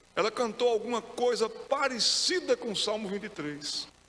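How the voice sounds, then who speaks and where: Through noticeable background noise, a man with a Pernambuco accent speaks in an extremely high pitch. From Pernambuco, Brazil. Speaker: pastor. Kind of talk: sermon.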